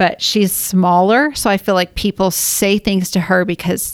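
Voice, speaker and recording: In an ordinary speaking voice, a woman with an American accent talks at a fairly slow pace and medium pitch with fairly even intonation, and the sound is dry and close with no echo. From Washington state. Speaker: mother. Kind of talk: casual conversation.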